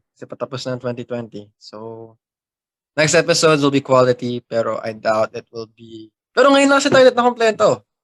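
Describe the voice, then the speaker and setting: In a dry, close sound with no echo, a man talks at a fairly quick pace with big swings in loudness. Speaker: podcast co-host. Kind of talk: casual chat.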